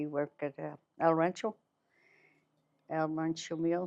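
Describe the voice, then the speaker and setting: A woman's very deep, low voice at a moderate pace, monotone and flat, over a quiet background. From northern New Mexico, rural. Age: 80s+. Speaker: grandmother telling her life story. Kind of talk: oral history interview. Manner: halting, with restarts.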